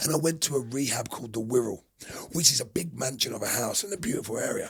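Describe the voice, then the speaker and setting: Over noticeable background noise, a man talks at a very fast pace. His medium-pitched voice has lively intonation. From London. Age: 40s. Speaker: former prisoner and bare knuckle fighter. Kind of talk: podcast interview. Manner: loud.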